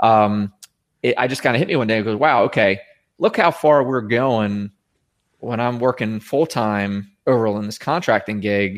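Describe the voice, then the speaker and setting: The recording is very clean with a silent background. A man with a plain, everyday voice speaks at a moderate pace and medium pitch, with ordinary pitch variation. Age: 40s. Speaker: former IT company CEO and Marine veteran. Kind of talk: casual interview.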